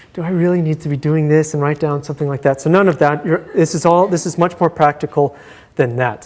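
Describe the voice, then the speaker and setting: A man speaks at a very fast pace. His pitch is fairly high, with ordinary pitch variation. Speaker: university lecturer. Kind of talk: lecture. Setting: lecture hall with students. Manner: halting, many fillers.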